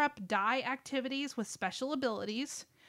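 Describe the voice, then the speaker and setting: Against a silent background in a very clean recording, a woman speaks with a bright, sharp tone. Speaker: board game podcast host. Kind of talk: casual chat.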